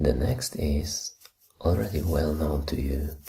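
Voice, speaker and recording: The voice is soft-spoken. It moves along fairly slowly. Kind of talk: ASMR show-and-tell talk.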